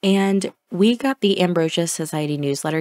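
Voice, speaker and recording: A soft-spoken woman with ordinary pitch variation in a dry, close sound with no echo. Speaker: gaming video creator. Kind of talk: casual gameplay commentary.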